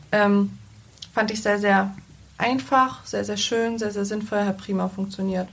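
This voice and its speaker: Speaking fairly slowly with long, frequent pauses, a woman uses a medium pitch, fairly even intonation and a somewhat breathy voice. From Lower Saxony, Germany (Salzgitter). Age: 20s. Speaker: bank clerk, recently trained. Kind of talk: interview conversation.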